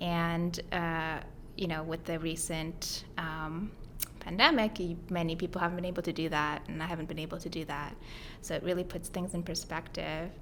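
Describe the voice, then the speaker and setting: In a Mongolian accent, a woman speaks at a moderate pace with monotone, flat intonation and a fairly low pitch, with audible room echo. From Mongolia, then Hawaii from age ten. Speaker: grad student and startup co-founder. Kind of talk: podcast interview. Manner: conversational with many fillers.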